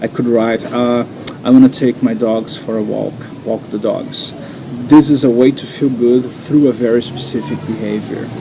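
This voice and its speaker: Over noticeable background noise, a man with a Brazilian accent speaks at a moderate pace. His voice is medium in pitch, and his intonation stays fairly even. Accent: non-native English, Brazilian Portuguese. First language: Portuguese. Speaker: NLP coach and hypnotherapist. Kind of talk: guided coaching exercise. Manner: halting.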